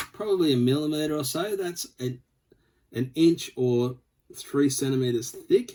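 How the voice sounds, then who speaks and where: With an Australian accent, a man speaks at a fairly slow pace in a dark, mellow, somewhat breathy tone, his pitch fairly high with ordinary variation. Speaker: scale model builder. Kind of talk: tutorial. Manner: casual, with filler words.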